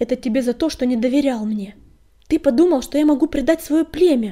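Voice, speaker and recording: A woman rattles along at a very fast pace in a high-pitched, put-on character voice with a hissing sound. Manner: angry hissing.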